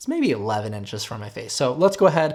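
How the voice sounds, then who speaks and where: An animated, very fast delivery on a very clean recording with a silent background. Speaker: tech reviewer. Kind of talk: product review. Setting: indoors at desk, then outdoors. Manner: casual, animated.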